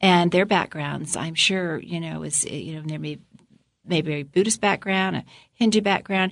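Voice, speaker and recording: Against a quiet background, a woman with an American accent and an unremarkable speaking voice talks at a moderate pace and a fairly low pitch, with ordinary pitch variation and big swings in loudness. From Florida. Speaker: politician's wife. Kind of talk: casual interview.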